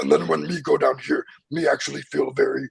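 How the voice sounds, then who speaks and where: Using a put-on character voice, a man speaks in a gravelly tone at a fairly quick pace. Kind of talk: uses 'me' instead of 'I/my'.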